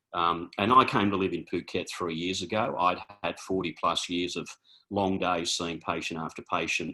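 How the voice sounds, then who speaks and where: A man with an Australian accent, very deep and low in pitch, with a bright, sharp tone. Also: fairly even intonation, moderate pace. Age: 60s. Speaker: chiropractor and naturopath. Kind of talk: informal presentation. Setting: video call. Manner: hesitant, many fillers.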